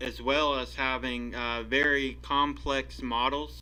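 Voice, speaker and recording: There is audible room echo in this clip. The voice belongs to a man. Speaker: indie game developer. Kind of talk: devlog tutorial. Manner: halting, many fillers.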